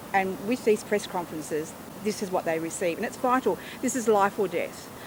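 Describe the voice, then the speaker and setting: A woman with an Australian accent talks at a fairly quick pace in a medium pitch, her intonation lively. Background noise is noticeable. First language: Auslan (sign language). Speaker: sign language interpreter. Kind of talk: interview.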